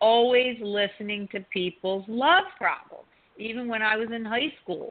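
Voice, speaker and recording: Speaking at a fairly slow pace with fairly even intonation, a woman has a plain, everyday voice. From US East Coast, Italian-American family. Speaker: relationship coach and author. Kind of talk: radio interview.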